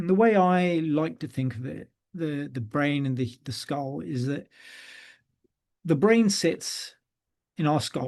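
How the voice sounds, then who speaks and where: A man with a British accent speaks at a fairly slow pace, his pitch fairly high and his intonation lively. He leaves long, frequent pauses against a quiet background. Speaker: neurosurgeon. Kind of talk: lecture. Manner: frequent hesitations (uh, um).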